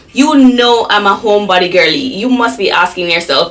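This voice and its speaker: Noticeable background noise accompanies a woman talking at a fairly quick pace with ordinary pitch variation. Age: 30s. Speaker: lifestyle vlogger. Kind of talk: casual vlog talk to camera. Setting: at home. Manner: chatty, conversational.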